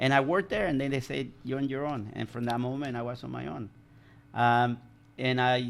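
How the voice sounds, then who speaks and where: This man speaks at a fairly quick pace with a Spanish accent. His pitch is medium, with ordinary variation. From El Salvador. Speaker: commercial pilot. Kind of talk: casual interview. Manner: halting.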